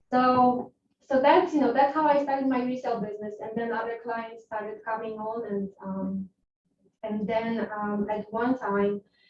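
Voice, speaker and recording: With a Polish accent, a woman speaks at a moderate pace. Her pitch is fairly high and her intonation fairly even. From Poland. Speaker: real estate agent. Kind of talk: interview. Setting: class with agents.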